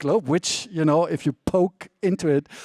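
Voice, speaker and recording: Heard dry and close with no echo, the speaker has a dark, mellow tone and a German accent and talks at a moderate pace. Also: man. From Germany. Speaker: author and China expert. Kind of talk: panel discussion. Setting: conference stage. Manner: hesitant with many fillers.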